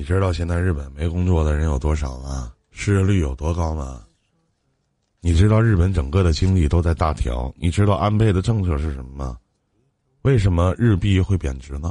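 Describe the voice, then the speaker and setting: A man speaks at a moderate pace with ordinary pitch variation. His voice is very deep and low, with a dark, mellow tone. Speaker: radio call-in advice host. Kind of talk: live call-in advice show. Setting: live stream.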